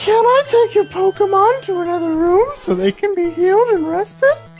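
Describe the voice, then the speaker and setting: Over clear background noise, a female-sounding put-on character voice reaches an extremely high pitch. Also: moderate pace. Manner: sweet, helpful.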